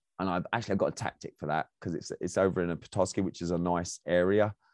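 His pitch is very deep and low, a man with an English accent. The sound is dry and close, with no echo. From England. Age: 40s. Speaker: podcast host and speaking coach. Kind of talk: casual monologue. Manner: halting.

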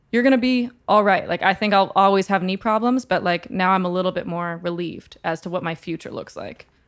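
A woman with an American accent, medium pitch, ordinary pitch variation and a plain, everyday voice, fairly quick with hardly any pauses, on a very clean recording with a silent background. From Texas, San Antonio. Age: 20s. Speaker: singer-songwriter. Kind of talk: casual chat.

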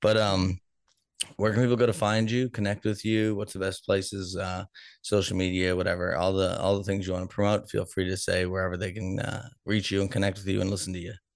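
A man with an unremarkable speaking voice and fairly low pitch talks at a fairly quick pace with fairly even intonation against a quiet background. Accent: American. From Boston, US. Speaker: podcast host. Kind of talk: casual interview chat.

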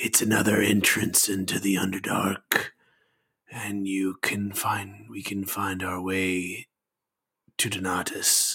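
Putting on a character voice, a man speaks raspily at a fairly low pitch and a very slow pace. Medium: actual play. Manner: halting, hesitant, murmuring.

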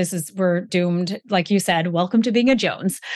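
In an unremarkable speaking voice, a woman talks at a medium pitch and a moderate pace with ordinary pitch variation against a quiet background. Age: 40s. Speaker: women's health coach and author. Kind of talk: casual interview chat.

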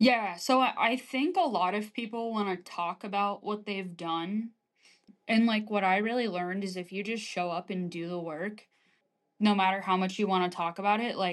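The woman has a plain, everyday voice with an American accent. She speaks at a moderate pace with ordinary pitch variation. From US small town. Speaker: army officer. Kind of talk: interview.

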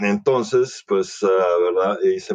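A man talks at a very slow pace, with a dry, close sound and no echo. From El Salvador. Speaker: naturopath. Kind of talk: interview. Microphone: noisy recording, microphone issues.

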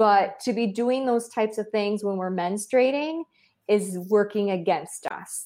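At a moderate pace, a woman talks with an American accent and ordinary pitch variation. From US Michigan. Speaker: fertility doctor. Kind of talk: casual interview chat. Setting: video call, spotty audio.

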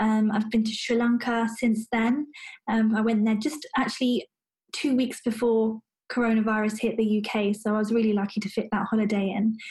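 At a moderate pace, a woman with a British accent speaks in a somewhat breathy, fairly high voice, her intonation monotone and flat and her loudness very even. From London, England. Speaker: doctor. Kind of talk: interview. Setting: video call.

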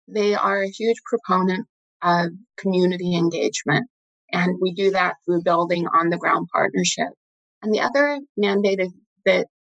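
A woman talks in an ordinary speaking voice at medium pitch with ordinary pitch variation. The sound is dry and close with no echo. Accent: American. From Utah, US. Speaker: investment director. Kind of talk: interview.

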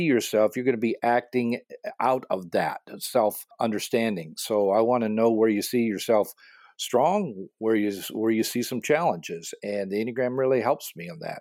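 Using an ordinary speaking voice, a man talks at a moderate pace in a medium pitch. The recording is very clean, with a silent background. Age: 60s. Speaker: pastor and coach. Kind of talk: interview.

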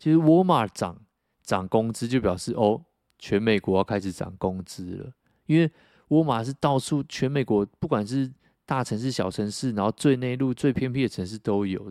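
On a very clean recording with a silent background and a dry, close sound with no echo, a man with a dark, mellow tone speaks at a moderate pace with lively intonation and big swings in loudness. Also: medium pitch for a man. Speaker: podcast co-host. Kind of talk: casual chat. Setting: motel room.

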